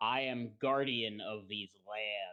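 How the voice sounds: The booming, low-pitched voice is a put-on character voice.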